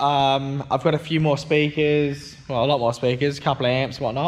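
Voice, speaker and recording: Speaking with an Australian accent, a man keeps a moderate pace. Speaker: car and stereo vlogger. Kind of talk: casual video vlog. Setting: workshop. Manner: loud; hesitant, many fillers.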